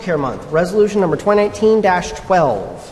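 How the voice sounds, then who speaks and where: With an American accent, a man speaks at a high pitch with ordinary pitch variation. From US Midwest. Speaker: town council president; council presiding officer. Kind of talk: council meeting chairing. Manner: formal. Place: hall. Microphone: podium.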